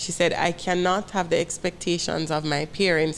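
A woman's monotone, flat delivery with vocal fry, in a Jamaican accent. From Jamaica, Kingston. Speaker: school principal. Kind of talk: personal testimony in interview. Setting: studio set.

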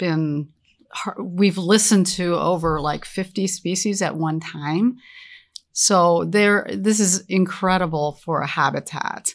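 On a very clean recording with a silent background, a woman with an ordinary speaking voice talks at a fairly low pitch with ordinary pitch variation. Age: 60s. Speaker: business co-founder. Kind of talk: interview. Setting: outdoors.

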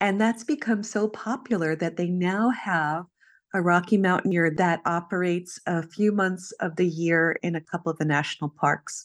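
A woman with a plain, everyday voice speaks at a moderate pace and a fairly low pitch. Her pitch varies in an ordinary way against a quiet background.

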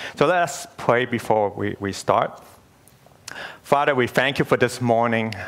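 A man with a plain, everyday voice speaks in a medium pitch at a fairly slow pace. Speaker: church elder and preacher. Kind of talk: sermon. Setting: church.

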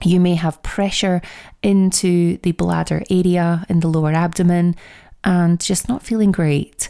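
On a very clean recording with a silent background, a woman with a Scottish accent speaks in a warm, dark, mellow tone, with fairly even intonation and very even loudness. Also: fairly low pitch for a woman, fairly slow pace. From Scotland. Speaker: podcast host and menopause coach. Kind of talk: solo educational podcast talk. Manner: warm, direct address to listeners.

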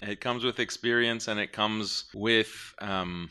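Against a quiet background, a man with an American accent speaks at a fairly slow pace, his fairly low voice having a bright, sharp tone. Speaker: Islamic speaker on ideology. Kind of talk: live talk with Q&A. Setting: live event with audience.

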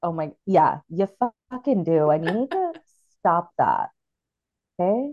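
Over music in the background, a woman talks at a medium pitch and a fairly slow pace, with an animated tone and very wide pitch swings. Long, frequent pauses break up her speech, and the sound is dry and close with no echo. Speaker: podcast host. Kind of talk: casual chat. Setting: video call.

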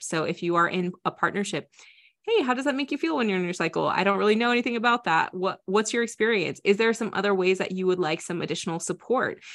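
A woman with an American accent speaks very fast at a medium pitch, her intonation lively against a quiet background. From US Midwest, Iowa. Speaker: entrepreneur and author. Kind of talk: podcast interview.

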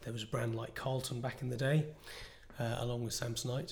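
A man speaks at medium pitch in a flat monotone. His voice is somewhat breathy, with audible room echo. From northwest England. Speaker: entrepreneur and product designer. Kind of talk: interview.

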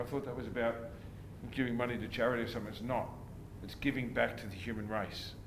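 A man talks at a very fast pace with fairly even intonation over noticeable background noise. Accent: Australian. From Australia, country Victoria (Bendigo). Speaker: gym owner and bodybuilding promoter. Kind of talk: interview.

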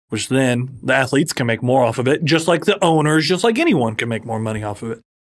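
A man with an unremarkable speaking voice, medium pitch and lively intonation. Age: 30s. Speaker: lawyer and podcast co-host. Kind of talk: casual chat.

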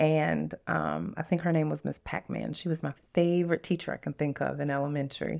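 A woman talks at a fairly quick pace with a Southern US accent. She speaks with hardly any pauses. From US South, Louisiana (Lafayette area), moved to Tennessee at eight. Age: 40s. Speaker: podcast host, abuse survivor. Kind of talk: Q&A interview, personal testimony.

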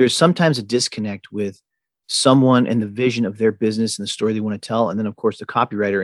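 Against a quiet background, a man's medium-pitched voice comes through with a dry, close sound and no echo. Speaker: podcast host. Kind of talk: casual interview.

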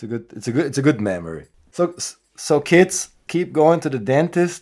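A man with a German accent talks at a fairly quick pace, his pitch swinging very widely. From Austria. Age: 40s. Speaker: punk rock musician. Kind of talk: casual chat.

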